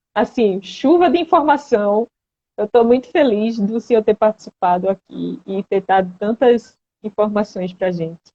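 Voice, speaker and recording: A woman's fairly high voice with lively intonation, a fairly slow pace and a Pernambuco accent. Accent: Pernambuco accent, noticeable. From Recife, Pernambuco, Brazil. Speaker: patient advocate, live-stream host. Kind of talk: live-stream interview. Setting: online live stream.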